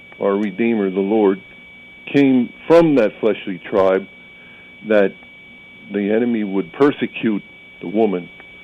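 Over noticeable background noise, a man with a fairly low voice talks fairly slowly with ordinary pitch variation. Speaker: caller. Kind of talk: call-in conversation about scripture. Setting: phone call.

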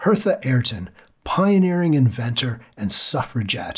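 This man's voice sits at a fairly high pitch and is somewhat breathy. He moves at a fairly slow pace with very wide pitch swings. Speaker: podcast host. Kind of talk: scripted intro and outro reading.

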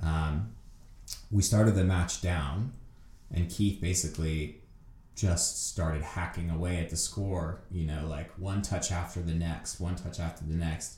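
A man's very deep, low, somewhat breathy voice with a dark, mellow tone and an American accent, fairly even intonation, a fairly slow pace and audible room echo. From United States. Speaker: Olympic fencer. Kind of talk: interview.

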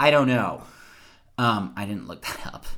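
A man with an American accent speaks at a fairly low pitch, his bright, sharp tone edged with vocal fry as his voice swings very widely in pitch. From US South. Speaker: podcast host. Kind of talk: casual chat; reading aloud.

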